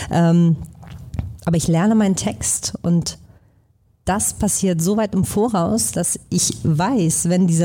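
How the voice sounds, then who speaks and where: A woman with a dark, mellow tone and a somewhat breathy voice talks at a fairly slow pace with lively intonation. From Hamburg, northern Germany. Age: 30s. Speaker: actress and musical performer. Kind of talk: live podcast conversation. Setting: stage with live audience.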